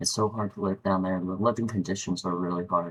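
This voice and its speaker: A man with an American accent and fairly even intonation. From West Virginia. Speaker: YouTuber. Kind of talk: casual monologue. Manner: halting, frequent repetitions.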